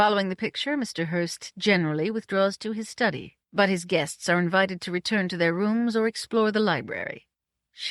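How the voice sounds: Quiet surroundings behind a natural reading voice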